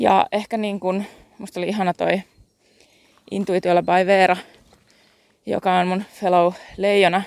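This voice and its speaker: A woman speaks at a medium pitch and a fairly slow pace, with long, frequent pauses. Her intonation is fairly even, and the sound is dry and close with no echo. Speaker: podcast host and Human Design coach. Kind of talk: casual solo monologue. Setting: outdoors, walking. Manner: halting, with fillers and self-corrections.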